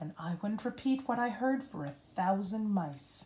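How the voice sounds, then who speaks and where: A female-sounding, put-on character voice at a medium pitch. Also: moderate pace. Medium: read story. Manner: warm, soothing.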